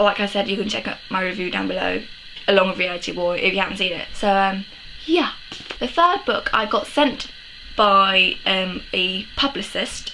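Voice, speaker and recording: This woman speaks with a British accent at a moderate pace, using ordinary pitch variation. Noticeable background noise runs under her voice. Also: medium pitch for a woman. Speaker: book vlogger. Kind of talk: casual chat. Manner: hesitant, many ums.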